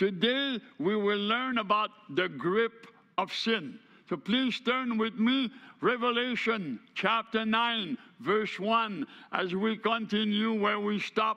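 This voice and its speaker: A man's raised, projected voice has a bright, sharp tone. He speaks at a very slow pace with ordinary pitch variation. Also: quiet background. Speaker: preacher. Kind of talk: sermon. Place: church.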